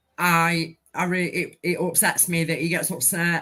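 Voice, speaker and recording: With an English accent, a woman speaks in a bright, sharp tone and fairly low pitch at a fairly slow pace, recorded very cleanly against a silent background. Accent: English accent, self-described as dodgy. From England. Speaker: viewer joining a livestream panel. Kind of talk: casual chat. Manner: halting.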